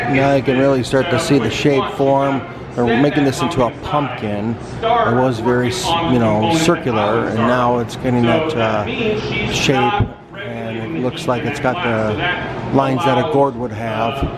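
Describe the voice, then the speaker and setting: At a fairly slow pace, a man talks at medium pitch with ordinary pitch variation, amid noticeable background noise and audible room echo. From Missouri (St. Louis). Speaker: travel vlogger. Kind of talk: casual vlog narration.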